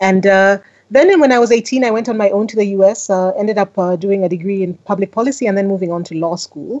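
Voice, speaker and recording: A woman speaks at a very fast pace with an American accent. Her pitch sits in the medium range. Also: ordinary pitch variation. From Kenya. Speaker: business leader and investor. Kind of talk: interview.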